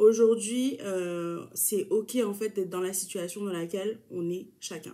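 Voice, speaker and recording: Here a woman talks in a medium register for her voice. Her pitch moves in an ordinary way, and the tone comes across dark and mellow. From New Caledonia (Kanak). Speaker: YouTuber. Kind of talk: casual talk to camera.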